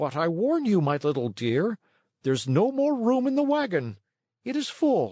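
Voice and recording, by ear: Using a put-on character voice, a man talks at a fairly slow pace in a high pitch with a dark, mellow tone, a slightly husky edge and big pitch swings.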